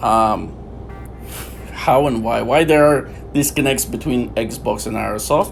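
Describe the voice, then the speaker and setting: A man with a non-native accent speaks at a fairly slow pace, leaving long, frequent pauses. Noticeable background noise and audible room echo surround him. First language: not English. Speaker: gaming YouTuber. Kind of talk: gameplay commentary. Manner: halting, many fillers.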